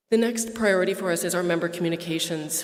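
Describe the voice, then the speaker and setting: A woman speaks at a fairly low pitch. Audible room echo and noticeable background noise come through. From Quebec. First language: French. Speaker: association staff, member services manager. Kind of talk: formal presentation at annual meeting.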